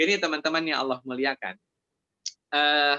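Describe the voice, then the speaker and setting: This man speaks with a West Javanese accent. His pitch is fairly high. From Indonesia, Sundanese (West Java). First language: Sundanese (speaking Indonesian). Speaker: Islamic preacher. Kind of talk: religious study Q&A. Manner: conversational, with fillers.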